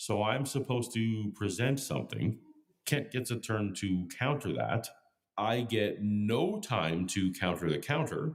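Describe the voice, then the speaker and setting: A man's unremarkable speaking voice, medium in pitch, fairly slow, with very even loudness. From Canada. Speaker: YouTube commentator and debater. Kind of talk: scripted narration.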